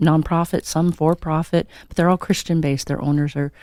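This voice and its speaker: A woman's very deep, low, dark and mellow voice with an American accent, fairly quick and monotone, flat in intonation, on a very clean recording with a silent background. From Montana. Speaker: radio co-host. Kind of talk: casual radio chat.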